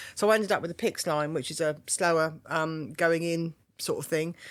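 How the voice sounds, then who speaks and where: On a very clean recording with a silent background, a woman with a fairly low voice speaks with ordinary pitch variation. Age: 60s. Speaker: cancer survivor and charity volunteer. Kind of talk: testimony. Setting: studio. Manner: animated.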